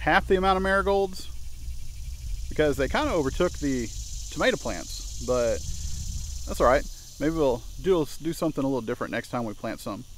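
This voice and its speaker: A man talks at a fairly quick pace with light background noise. The sound is dry, with no echo. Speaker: home gardener vlogger. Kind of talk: casual vlog chat. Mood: relaxed, friendly. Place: garden. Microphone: phone near.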